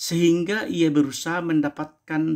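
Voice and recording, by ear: A man talks slowly, his voice carrying a slightly husky edge and a slightly mellow tone.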